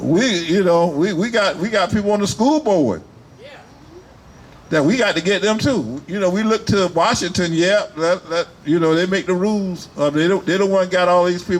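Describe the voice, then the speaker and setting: A man's animated, high-pitched voice at a moderate pace, with ordinary pitch variation and very even loudness, over noticeable background noise. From US South, Wilmington, North Carolina. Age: 70s. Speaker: rally speaker, military veteran. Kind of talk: rally speech.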